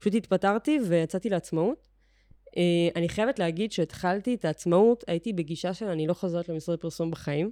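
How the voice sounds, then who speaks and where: Dry and close with no echo, a woman's dark, mellow, medium-pitched voice moves at a fairly quick pace. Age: 30s. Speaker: social media agency owner. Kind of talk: podcast interview. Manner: casual, filler-heavy.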